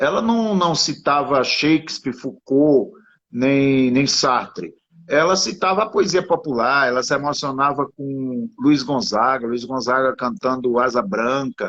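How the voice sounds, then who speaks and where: A man uses a normal speaking voice at a fairly high pitch. He talks at a fairly slow pace with lively intonation. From Sertânia, Pernambuco, Brazilian Northeast. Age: 50s. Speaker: writer. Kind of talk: interview conversation.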